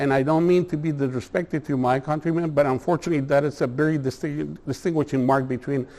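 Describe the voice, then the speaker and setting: A man with a Mexican accent has a dark, mellow tone and a fairly high pitch. He speaks at a very fast pace with hardly any pauses and fairly even intonation. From Mexico, Tijuana. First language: Spanish. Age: 60s. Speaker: attorney. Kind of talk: presentation to a community meeting. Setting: meeting hall with audience. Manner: halting, many fillers.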